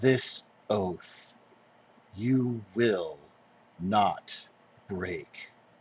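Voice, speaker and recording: A man puts on a character voice that is gravelly. His pitch sits fairly low. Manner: strained, heartbroken whisper.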